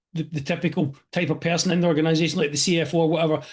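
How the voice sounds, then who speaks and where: With a Scottish accent, a man talks very fast in a high-pitched voice against a quiet background. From Scotland. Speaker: expense reduction franchise owner. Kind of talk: interview host questions.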